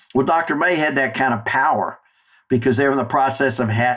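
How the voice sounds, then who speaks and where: A man speaks with an American accent. His intonation is fairly even. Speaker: war veteran. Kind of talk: interview storytelling.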